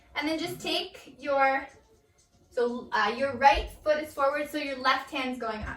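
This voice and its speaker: Over music in the background, a woman speaks in a raised, projected voice with a high pitch, ordinary pitch variation and a moderate pace. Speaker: yoga instructor. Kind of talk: guided yoga class. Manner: casual.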